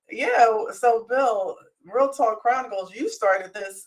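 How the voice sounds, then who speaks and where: At a fairly slow pace, a woman with an American accent speaks in a fairly high voice. Her intonation is lively, with big swings in loudness. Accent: sounds Southern, per others. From Philadelphia. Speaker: co-host. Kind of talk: casual chat.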